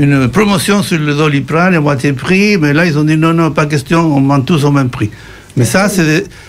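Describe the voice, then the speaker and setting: A man with a Spanish accent talks at a moderate pace with a fairly high pitch. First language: Spanish (speaking French). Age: 60s. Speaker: radio panel guest. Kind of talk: radio discussion. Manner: halting, many fillers and repetitions.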